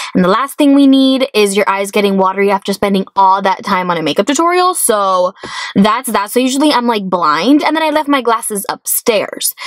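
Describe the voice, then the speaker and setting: With noticeable background noise but a dry, close sound with no echo, a woman speaks fairly quickly at a fairly high pitch, her loudness very even while her pitch swings very widely. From US, Miami, Florida. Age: 20s. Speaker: beauty vlogger. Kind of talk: casual vlog monologue. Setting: in a car. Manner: fast, chatty.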